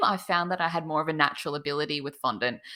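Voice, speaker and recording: A woman with an Australian accent and a bright, sharp tone, at a fairly quick pace, on a very clean recording with a silent background. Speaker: cake designer. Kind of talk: interview.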